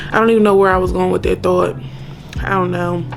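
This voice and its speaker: Music plays in the background. Over it, a woman talks at a very fast pace. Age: 30s. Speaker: vlogger. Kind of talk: casual vlog monologue. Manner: animated.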